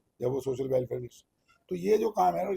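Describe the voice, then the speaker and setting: A man speaks with lively intonation in a dark, mellow tone, recorded dry and close with no echo. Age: 70s. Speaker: charity event organizer. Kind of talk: interview. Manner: rambling, hesitant.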